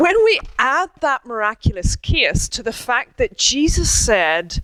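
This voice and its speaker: With an Irish accent, a woman speaks at a high pitch and a fairly slow pace, her voice making very wide pitch swings in a dry, close sound with no echo. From Ireland. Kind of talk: public talk.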